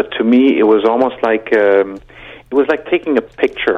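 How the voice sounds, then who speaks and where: With a normal speaking voice, a man talks at a moderate pace using ordinary pitch variation. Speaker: pilgrim. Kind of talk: casual chat. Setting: phone call.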